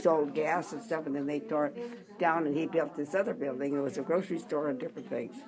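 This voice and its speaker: Over noticeable background noise, a woman with a very deep, low pitch speaks at a very fast pace with lively intonation and hardly any pauses. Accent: American. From Mount Angel, Oregon, USA. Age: 80s+. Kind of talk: interview answer.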